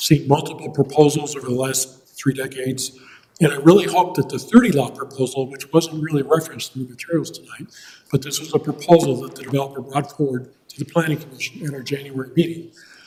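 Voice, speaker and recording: Speaking at a very fast pace, a man has a fairly high pitch, a dark, mellow tone and a somewhat breathy sound. His intonation is fairly even, though his loudness swings widely. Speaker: planning commissioner speaking as resident. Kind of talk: public comment at board meeting. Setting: township board meeting, podium. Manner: quiet. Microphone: far from the mic, too quiet.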